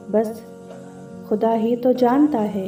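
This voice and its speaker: A woman speaks while music plays in the background. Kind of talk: poetry reading.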